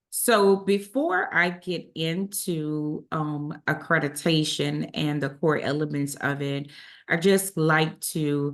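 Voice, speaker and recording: A woman's very deep, low pitch at a very slow pace, with fairly even intonation over a quiet background. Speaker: accreditation director presenting a webinar. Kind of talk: online presentation. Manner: frequent filler words (um).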